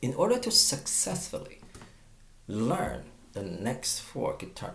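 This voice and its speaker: A man with a Chinese accent is heard with audible room echo. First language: Mandarin Chinese. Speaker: guitar teacher. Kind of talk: tutorial. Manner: halting, with stammers and fillers.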